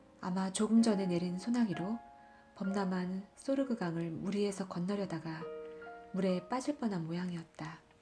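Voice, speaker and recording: A woman speaks at a fairly slow pace in a calm, soothing tone, her medium-pitched voice showing ordinary pitch variation. Music plays behind her. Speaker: audiobook narrator. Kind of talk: literary audiobook reading. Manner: calm, soothing reading.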